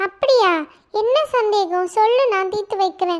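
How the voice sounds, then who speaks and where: An extremely high-pitched cartoonish character voice speaks at a fairly slow pace. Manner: friendly, self-assured.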